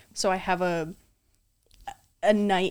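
Against a silent background in a very clean recording, a normal speaking voice moves at a fairly slow pace with fairly even intonation. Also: woman. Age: 20s. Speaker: podcast co-host. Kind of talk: casual chat.

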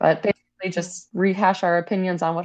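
A woman speaks at a fairly quick pace with a fairly low pitch. Vocal fry runs through her voice. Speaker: podcast co-host. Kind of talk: casual chat.

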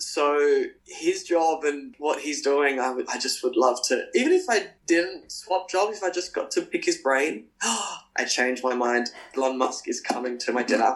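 A man talks with an Australian accent. He leaves hardly any pauses. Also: fairly slow pace. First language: Spanish. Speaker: professional dancer. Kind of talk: casual interview.

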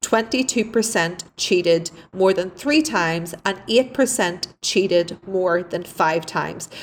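A woman's medium-pitched voice with an Irish accent and lively intonation. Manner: laughs often, candid.

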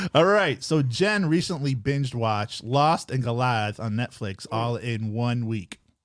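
A man talks at a medium pitch with lively intonation and hardly any pauses. His is an unremarkable speaking voice. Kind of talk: casual chat.

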